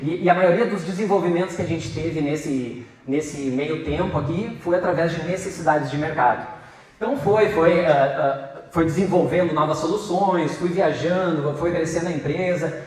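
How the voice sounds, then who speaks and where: A man with a southern Brazilian accent speaks at a moderate pace in a high pitch with ordinary pitch variation, amid audible room echo and noticeable background noise. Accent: gaúcho accent, clearly noticeable. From Rio Grande do Sul, southern Brazil. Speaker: entrepreneur and guest speaker. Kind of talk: lecture to students. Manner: halting, many fillers and repetitions.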